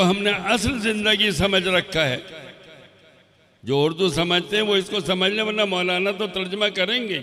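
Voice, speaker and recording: A man's high-pitched voice, raised and projected. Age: 80s+. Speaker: Islamic scholar. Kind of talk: sermon.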